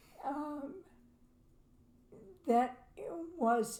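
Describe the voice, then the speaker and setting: A woman speaks very slowly in a dark, mellow tone, with ordinary pitch variation. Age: 80s+. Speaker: podcast co-host. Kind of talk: casual chat. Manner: halting.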